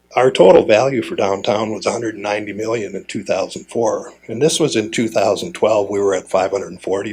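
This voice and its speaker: With an Upper Midwest accent, the speaker goes at a fairly quick pace with hardly any pauses, sounding somewhat breathy, with ordinary pitch variation. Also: man. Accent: Upper Midwest American. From Fargo, North Dakota. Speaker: city commissioner. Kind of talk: conference talk. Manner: casual, conversational.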